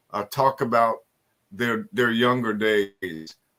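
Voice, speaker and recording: Speaking at a fairly slow pace, a man with an American accent has a bright, sharp tone. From eastern Kentucky, Harlan County (Appalachia). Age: 70s. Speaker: author and researcher. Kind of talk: interview storytelling. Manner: halting, many fillers.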